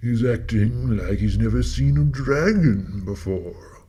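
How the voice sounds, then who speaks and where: Very deep, low put-on character voice from a man, delivered at a fairly slow pace. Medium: audio drama. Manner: courteous, old-fashioned.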